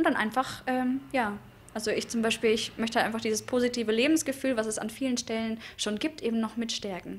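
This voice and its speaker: A woman speaks at a fairly quick pace with a fairly high pitch. Her intonation stays fairly even over light background noise. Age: young. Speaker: board member of a voters' association. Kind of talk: press interview. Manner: hesitant, many fillers. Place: hall. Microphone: handheld.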